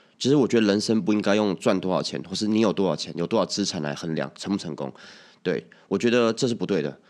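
Against a quiet background, a man talks at a very fast pace. His pitch is fairly low and his intonation lively. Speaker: podcast host. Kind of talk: casual chat. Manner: stammering at times.

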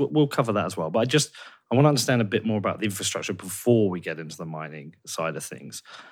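Here a man with an English accent talks at a very fast pace. His pitch is fairly low, and the recording is very clean with a silent background. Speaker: podcast host. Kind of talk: interview.

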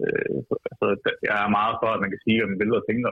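This is a man speaking at medium pitch. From Denmark, Vejle. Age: 20s. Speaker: political activist and columnist. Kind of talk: radio interview. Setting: phone call.

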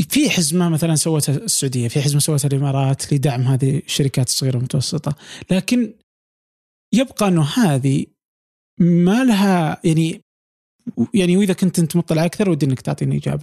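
A man's dark, mellow tone at a fairly high pitch, with lively intonation, very even loudness, a moderate pace and a dry, close sound with no echo. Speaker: podcast host. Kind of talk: interview. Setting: recording from home.

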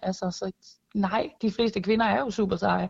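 The voice is somewhat breathy at a moderate pace. Its intonation is fairly even. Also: woman. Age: 20s. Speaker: air force weapons technician. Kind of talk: interview. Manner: hesitant, repeats words.

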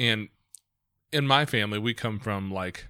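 The recording is very clean and the background silent. This man's tone is bright and sharp. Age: 40s. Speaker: podcast host. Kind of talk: casual interview.

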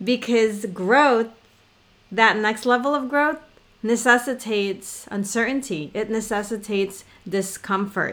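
A woman talks fairly slowly with a non-native accent. Her pitch sits fairly high and varies in an ordinary way. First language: not English. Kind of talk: casual chat.

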